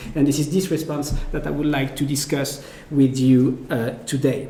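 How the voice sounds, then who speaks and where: Speaking at a fairly slow pace in a French accent, a man is heard with audible room echo and noticeable background noise. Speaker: philosopher. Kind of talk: lecture. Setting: academic seminar. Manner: halting, many fillers.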